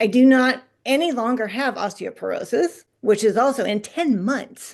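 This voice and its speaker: A woman speaks in a high voice with ordinary pitch variation at a fairly slow pace. She leaves hardly any pauses, and the background is quiet. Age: 60s. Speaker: coaching group member sharing results. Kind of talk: testimony.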